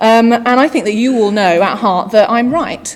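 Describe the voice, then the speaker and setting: Speaking at a moderate pace, a woman with fairly high pitch uses an ordinary speaking voice. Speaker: digital marketing executive, conference speaker. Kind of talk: conference keynote. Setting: stage with audience.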